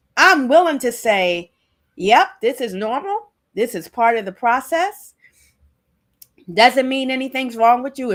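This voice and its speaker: A high-pitched woman with an American accent, fairly slow and full of long, frequent pauses, with very wide pitch swings and big shifts in loudness, on a very clean recording with a silent background. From Maryland, US (Prince George's County). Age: 60s. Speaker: author and self-representation advocate. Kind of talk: podcast interview.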